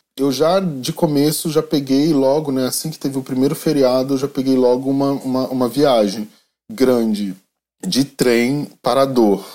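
The man's medium-pitched voice has a dark, mellow tone, ordinary pitch variation and a fairly slow pace. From Rio de Janeiro, Brazil. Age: 40s. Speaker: journalist and tour guide. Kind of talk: interview.

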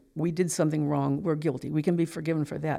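Recorded very cleanly against a silent background, a woman with an American accent speaks at a very deep, low pitch, her dark, mellow tone showing vocal fry. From US rural farm upbringing. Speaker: abortion recovery counselor. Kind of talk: testimony.

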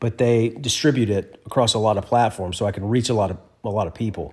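A man's fairly low, somewhat breathy voice. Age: 40s. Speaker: podcast host, type one diabetic. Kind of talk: solo podcast monologue. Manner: casual, conversational with fillers.

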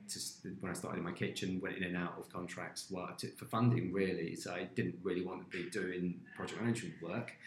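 Speaking at a fairly quick pace with hardly any pauses, a man uses a very deep, low pitch and fairly even intonation. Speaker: food company founder. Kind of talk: casual interview chat.

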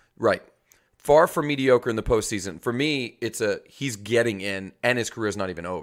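At a moderate pace, a man with a plain, everyday voice and an American accent talks at a medium pitch in a very clean recording with a silent background. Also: lively intonation. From New York. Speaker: podcast co-host, football fan. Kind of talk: casual chat. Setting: video podcast recording.

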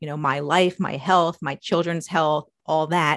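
A woman speaks in a plain, everyday voice with an American accent, at a moderate pace and fairly low pitch with ordinary pitch variation, in a dry, close sound with no echo. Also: quiet background. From New York. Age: 40s. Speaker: engineer and science fiction author. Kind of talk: interview.

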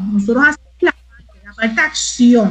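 A woman speaks at a high pitch in a Puerto Rican accent. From Puerto Rico (Mayagüez). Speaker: arts minister. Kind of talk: casual chat. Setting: live stream.

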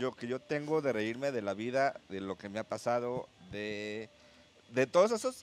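An unremarkable speaking voice, this man talks at a medium pitch with ordinary pitch variation. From Guadalajara, Mexico. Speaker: stand-up comedian. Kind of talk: casual interview chat.

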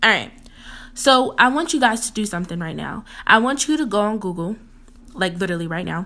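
With a fairly high pitch, a woman speaks at a fairly quick pace in a bright, sharp, animated tone, her lively intonation marked by big swings in loudness and long, frequent pauses. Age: 20s. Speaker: motivational speaker and entrepreneur. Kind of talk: solo podcast tips talk.

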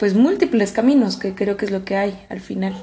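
The speaker is a woman. Her pitch sits at a medium level. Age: 20s. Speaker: podcast co-host. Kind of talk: casual chat.

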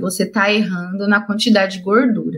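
In a bright, sharp tone, a woman speaks at a moderate pace. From Brazil, interior of São Paulo state (Ribeirão Preto). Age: 30s. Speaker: wheelchair triathlete and speaker. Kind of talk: interview, personal story. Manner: talkative, fluent.

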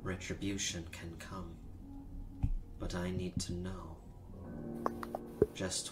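A man's put-on character voice, very deep and low, over loud background noise. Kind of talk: epic fantasy oracle speech. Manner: grave, commanding, detached.

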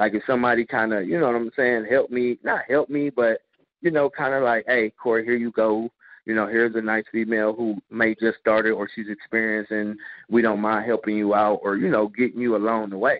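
With a normal speaking voice, a man talks at a fairly quick pace, his medium pitch held in fairly even intonation. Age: 30s. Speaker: adult entertainer and fitness trainer. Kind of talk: interview. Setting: gym.

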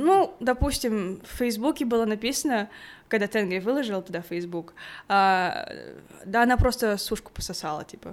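On a very clean recording with a silent background, a woman speaks at a fairly slow pace and a fairly high pitch. Her pitch swings very widely and her loudness varies greatly. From Kazakhstan, Aktau. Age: 20s. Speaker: engineering student. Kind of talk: casual interview.

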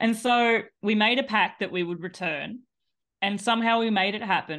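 A woman with fairly even intonation over a quiet background. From Australia. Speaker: cycling business owner and ultra cyclist. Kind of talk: casual podcast interview.

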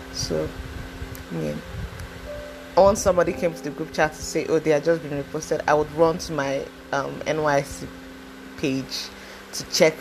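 Over noticeable background noise, a woman talks at a very deep, low pitch with fairly even intonation. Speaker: podcaster. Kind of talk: personal testimony monologue. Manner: casual, hesitant with fillers.

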